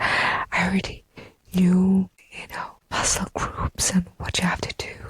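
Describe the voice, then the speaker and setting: A woman whispers at a fairly slow pace. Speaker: fitness competitor and personal trainer. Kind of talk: ASMR podcast monologue. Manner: whispered, inaudible style.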